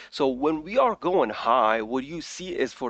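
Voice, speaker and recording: Recorded with a dry, close sound and no echo over a quiet background, a man talks with a non-native accent. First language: not English. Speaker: crypto trading YouTuber. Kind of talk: market analysis commentary. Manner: casual, with frequent fillers.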